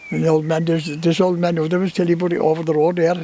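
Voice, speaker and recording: A man's high-pitched voice comes through with noticeable background noise. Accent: West Cork. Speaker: storyteller. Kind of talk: oral history interview answer.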